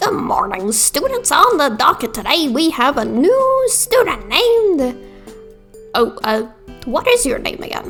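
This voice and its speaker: Someone puts on a character voice, speaking at a fairly slow pace with long, frequent pauses while faint music plays in the background. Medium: game stream. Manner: mild, folksy, slightly befuddled.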